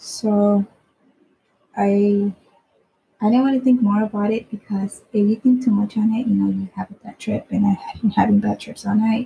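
With a dark, mellow tone, a husky, rough edge and vocal fry, the speaker moves at a moderate pace with fairly even intonation. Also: woman, medium pitch for a woman.

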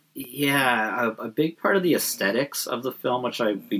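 The man talks at a moderate pace with ordinary pitch variation, and noticeable background noise is present. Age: 30s. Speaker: podcast co-host. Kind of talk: casual chat.

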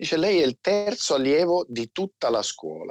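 A man talks in an ordinary speaking voice with ordinary pitch variation. The sound is dry and close, with no echo. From Turin, northern Italy. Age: 40s. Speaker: military veteran. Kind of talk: interview.

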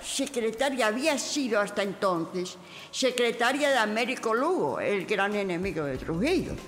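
Noticeable background noise fills this recording, along with audible room echo. A woman speaks at a fairly slow pace. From Spain, Castile (Segovia, Madrid). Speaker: writer and historian. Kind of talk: autobiographical testimony.

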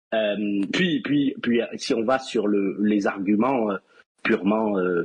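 Pitch moves in an ordinary way. The delivery is very slow. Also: man. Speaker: wrestling fan guest. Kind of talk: casual chat. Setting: voice chat call.

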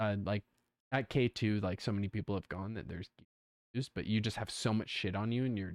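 Pitch moves in an ordinary way across this very clean recording, which has a silent background and a dry, close sound with no echo. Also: man. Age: 20s. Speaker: podcast co-host, arts student. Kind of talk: casual chat. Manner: animated.

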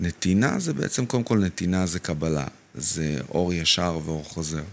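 This man has a very deep, low pitch that shows ordinary variation. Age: 30s. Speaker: real estate consultant. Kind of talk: casual chat. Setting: studio.

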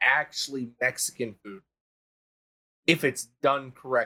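The man has a bright, sharp tone. He talks at a fairly slow pace. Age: 20s. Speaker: army veteran and content creator. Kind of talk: casual chat. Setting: live stream.

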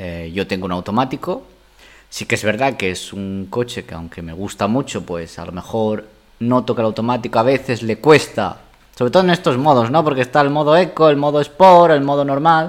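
Speaking at a moderate pace and a medium pitch, a man swings very widely in pitch and makes big swings in loudness. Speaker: podcast guest, host's partner. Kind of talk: casual chat. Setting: home dining room.

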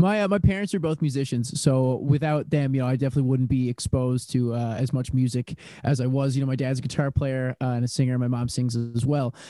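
Over noticeable background noise, a man of medium pitch talks at a very fast pace with hardly any pauses and ordinary pitch variation. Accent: Newfoundland. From Newfoundland, St. John's. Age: 20s. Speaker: singer-songwriter musician. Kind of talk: casual interview chat.

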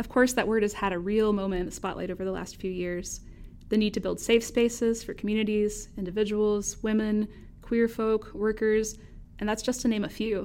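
Using a plain, everyday voice, a woman with a fairly high pitch and an American accent speaks at a moderate pace. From North Carolina, US South. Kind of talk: casual academic conversation.

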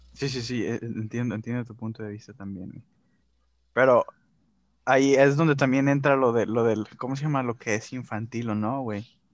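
His loudness swings widely while the man's intonation stays fairly even. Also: medium pitch for a man, moderate pace, very clean recording, silent background. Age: 20s. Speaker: podcast co-host. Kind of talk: casual chat.

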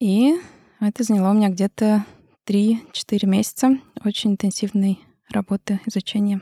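Somewhat breathy with a dark, mellow tone, a woman speaks with fairly even intonation, very even loudness and long, frequent pauses, in a dry, close sound with no echo and a very clean recording on a silent background. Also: medium pitch for a woman, moderate pace. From Russia, Moscow. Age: 30s. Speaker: maxillofacial surgeon. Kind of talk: interview.

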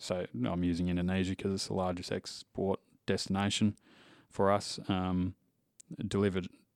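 A man speaks at a moderate pace in a very deep, low pitch with fairly even intonation, recorded very cleanly against a silent background with a dry, close sound and no echo. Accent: Australian. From Western Australia. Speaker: livestock export manager. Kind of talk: interview.

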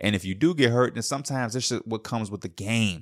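In a very clean recording with a silent background, a man talks in an animated tone that is bright and sharp. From Chicago. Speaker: podcast host. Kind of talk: casual monologue.

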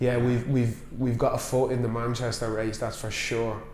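Over noticeable background noise, a man talks at a medium pitch with monotone, flat intonation. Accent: Irish. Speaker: podcast host, wine industry. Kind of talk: casual chat.

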